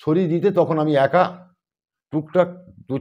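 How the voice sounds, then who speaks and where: This is a man with a normal speaking voice. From West Bengal, India. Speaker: cremation worker and mason. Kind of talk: interview answer. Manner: casual, rambling.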